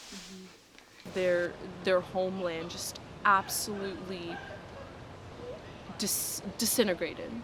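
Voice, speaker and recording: Over noticeable background noise and audible room echo, a woman speaks at a fairly slow pace in a medium pitch, with fairly even intonation and long, frequent pauses. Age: young. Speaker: university student. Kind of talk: interview.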